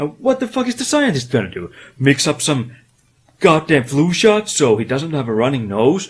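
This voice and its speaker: Somewhat breathy and at a fairly high pitch, a man speaks at a moderate pace with very wide pitch swings. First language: not English. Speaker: retro game reviewer. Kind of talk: comedic video game review narration. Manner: animated.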